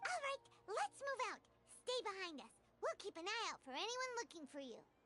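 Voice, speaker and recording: An extremely high, squeaky, cartoonish character voice. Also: moderate pace. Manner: excitable.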